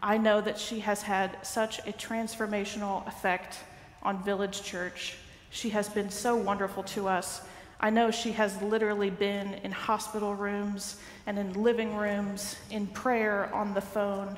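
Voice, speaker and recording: Flat, monotone intonation comes through with audible room echo. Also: woman, fairly slow pace. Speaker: minister giving announcements. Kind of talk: church announcements. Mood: warm, a little sad. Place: church. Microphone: headset.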